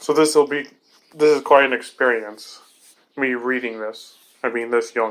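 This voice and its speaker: A man's medium-pitched voice at a moderate pace, in a flat monotone. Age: young. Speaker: YouTuber reviewing comic books. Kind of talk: casual commentary. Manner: chatty, rambling with self-corrections.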